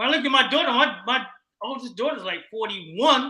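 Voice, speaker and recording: A man projects a raised voice at an extremely high pitch. His tone is bright and sharp. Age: 60s. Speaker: recording artist. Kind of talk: casual chat. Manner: halting.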